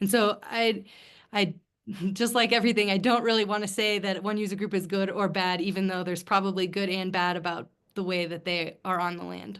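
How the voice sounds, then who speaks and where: A woman with an American accent speaks in a plain, everyday voice at a fairly quick pace, medium pitch and fairly even intonation, against a quiet background. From US Midwest. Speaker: author. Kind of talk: book club Q&A conversation.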